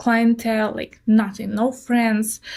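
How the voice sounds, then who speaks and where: A woman with a strong Russian accent speaks in a somewhat breathy, dark, mellow voice of fairly high pitch, recorded very cleanly against a silent background. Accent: heavy Russian. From southern Russia. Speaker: nail artist and influencer. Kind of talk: interview. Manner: direct.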